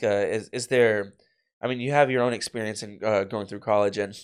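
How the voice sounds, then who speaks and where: Man at a medium pitch and fairly quick pace, fairly even intonation, very clean recording with a silent background. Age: 30s. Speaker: podcast host. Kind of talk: casual interview. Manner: halting, many fillers.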